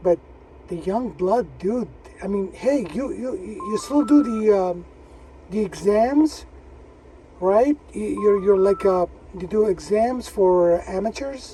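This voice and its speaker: Over music in the background, a man with a high pitch talks at a very slow pace, using ordinary pitch variation and long, frequent pauses. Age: 60s. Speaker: amateur radio operator. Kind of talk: casual chat. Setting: radio contact over repeater on handheld.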